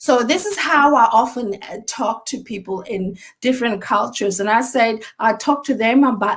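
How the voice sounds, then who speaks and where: A woman speaks in a Botswana accent. Her pace is moderate. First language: Setswana. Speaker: mental health expert. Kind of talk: interview.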